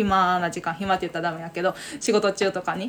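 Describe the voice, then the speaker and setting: This woman has a plain, everyday voice, medium in pitch, and speaks at a moderate pace. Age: 30s. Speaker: podcast co-host. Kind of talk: casual chat.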